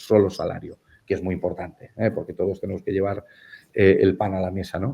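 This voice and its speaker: A man's fairly low voice at a moderate pace. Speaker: economic psychologist, keynote speaker. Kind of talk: interview. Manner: hesitant, many fillers.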